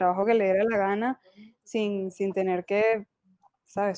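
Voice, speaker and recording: Speaking at a moderate pace, a woman has an unremarkable speaking voice, medium pitch and fairly even intonation. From Venezuela. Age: 20s. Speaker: film student. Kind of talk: casual chat.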